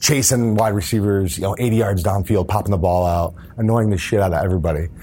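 An ordinary speaking voice, a man with an American accent speaks at a fairly quick pace with fairly low pitch and ordinary pitch variation. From upstate New York. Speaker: former NFL player and entrepreneur. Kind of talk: interview.

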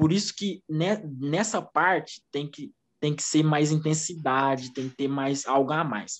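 The speaker has a plain, everyday voice with ordinary pitch variation. The pace is fairly slow. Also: man, fairly high pitch for a man. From Brazil, Minas Gerais (Uberlândia). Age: 20s. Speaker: former footballer and physical education student. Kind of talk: casual interview.

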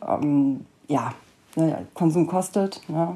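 A woman speaks with lively intonation. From Cologne, Germany. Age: 30s. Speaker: podcaster in addiction recovery. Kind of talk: personal monologue.

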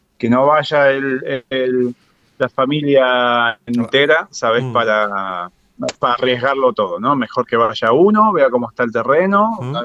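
This man has a plain, everyday voice at medium pitch. He speaks at a fairly slow pace with lively intonation. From Argentina, Mar del Plata. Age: 30s. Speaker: podcaster and streamer. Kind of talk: casual interview. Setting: remote call.

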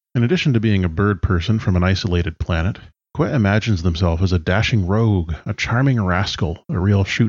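In a normal speaking voice with a Canadian accent, a man talks at a fairly low pitch and a fairly quick pace, with very even loudness and hardly any pauses, in a very clean recording with a silent background. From British Columbia, Canada. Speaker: tabletop role-playing podcaster. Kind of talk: prepared interview answers.

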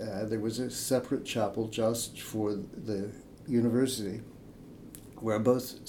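Audible room echo surrounds a man's medium-pitched, dark, mellow voice, which stays monotone and flat at a fairly slow pace. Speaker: hymn writer and priest. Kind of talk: interview. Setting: in person. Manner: halting.

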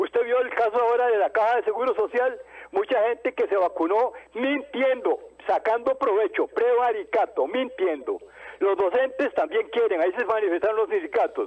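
At a moderate pace, a man speaks at an extremely high pitch, swinging very widely in pitch while his loudness stays very even. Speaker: caller. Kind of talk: phone-in call. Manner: formal.

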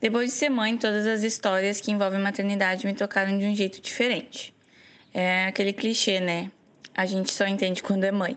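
Speaking at a fairly quick pace in a normal speaking voice, a woman keeps her loudness very even and her intonation fairly even at a medium pitch. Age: 20s. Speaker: mother and book club member. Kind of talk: recorded voice message.

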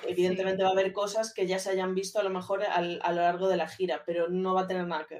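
A woman talks very fast with hardly any pauses, at a medium pitch. Her intonation is flat and monotone, while her loudness swings widely. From Galicia, Spain (A Coruña). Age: 30s. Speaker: social media and communications manager. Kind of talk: casual interview chat.

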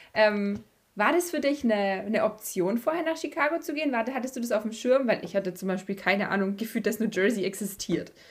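In a very clean recording with a silent background, a woman speaks at a fairly quick pace in a fairly high pitch with lively intonation. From Bavaria. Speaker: podcast host. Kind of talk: casual interview.

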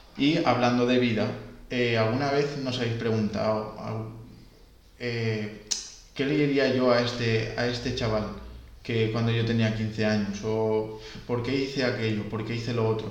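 Medium-pitched, monotone male speech with flat intonation, audible room echo and noticeable background noise. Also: fairly slow pace. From Valencia, Spain. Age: 20s. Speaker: podcast co-host, swimming instructor. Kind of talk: casual podcast chat. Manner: some hesitations and fillers.

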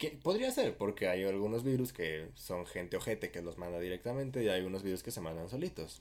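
The delivery is fairly quick, with hardly any pauses. The intonation is lively. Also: man, fairly low pitch for a man. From Mexico. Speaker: podcast co-host. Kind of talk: casual chat. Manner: loud.

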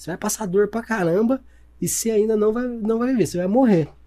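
At a fairly quick pace, a man speaks with high pitch, ordinary pitch variation and a dark, mellow tone. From interior of São Paulo state, Campinas region. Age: 30s. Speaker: salesman and entrepreneur. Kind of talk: casual chat.

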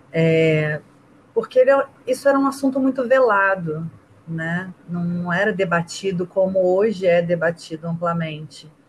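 At a fairly slow pace, this unremarkable speaking voice carries lively intonation. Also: woman, fairly low pitch for a woman. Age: 30s. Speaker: rugby player and teacher. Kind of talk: casual interview.

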